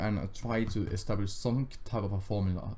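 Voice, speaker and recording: A man with a Finnish accent, fairly low in pitch, with ordinary pitch variation, a moderate pace and audible room echo. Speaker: gaming youtuber. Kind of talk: casual gameplay commentary. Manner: halting, stammering.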